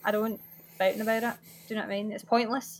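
A woman with a Glaswegian accent speaks at a fairly high pitch. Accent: Glaswegian Scottish. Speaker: video game speedrunner and streamer. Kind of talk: casual chat. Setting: online call.

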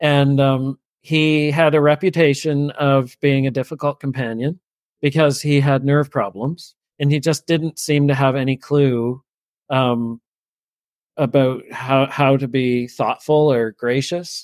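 A plain, everyday voice comes at a fairly slow pace with fairly even intonation and very even loudness, in a dry, close sound with no echo. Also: man, fairly high pitch for a man. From New Brunswick, Canada. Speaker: former itinerant minister. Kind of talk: interview storytelling. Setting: podcast interview.

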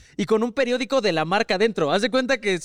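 The recording of a man's voice is dry and close, with no echo. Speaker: video editor. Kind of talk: casual chat.

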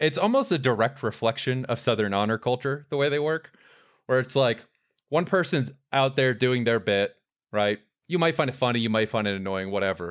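Delivered at a fairly quick pace with lively intonation, this is an unremarkable speaking voice. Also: man, medium pitch for a man, very clean recording, silent background. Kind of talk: casual comedic banter.

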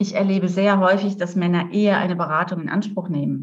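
With vocal fry in her fairly low voice, a woman speaks at a moderate pace. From rural Germany. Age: 50s. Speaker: coach and therapist. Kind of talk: interview.

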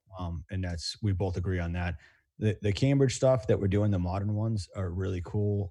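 Breathy to a degree, a man with an American accent speaks in a very deep, low pitch with a dark, mellow tone. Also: ordinary pitch variation, moderate pace, very clean recording, silent background. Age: 40s. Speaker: custom home builder. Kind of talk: casual chat.

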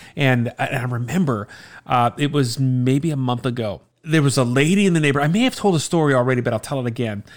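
In a very clean recording with a silent background, a man with an American accent talks at a very fast pace, his medium pitch showing ordinary variation. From South Florida, Miami area. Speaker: returning podcast guest, father. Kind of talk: casual chat.

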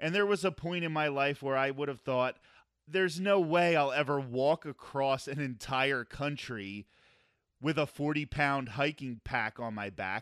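Against a quiet background with dry, close sound and no echo, a man with a plain, everyday voice and fairly high pitch speaks at a fairly slow pace with ordinary pitch variation. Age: 40s. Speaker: podcast host, former radio broadcaster. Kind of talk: casual interview chat.

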